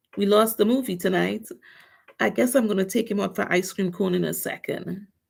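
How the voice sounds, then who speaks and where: The speaker talks at a fairly quick pace with vocal fry. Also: woman, medium pitch for a woman, ordinary pitch variation. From Trinidad and Tobago. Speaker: nail artist, livestreamer. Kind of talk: casual livestream chat.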